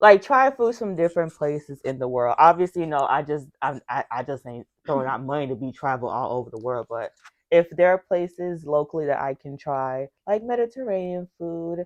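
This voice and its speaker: Delivered at a fairly quick pace with hardly any pauses, the speech has lively intonation and big swings in loudness, with a dry, close sound and no echo. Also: woman, very deep, low pitch for a woman. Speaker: podcast co-host. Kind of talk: casual chat.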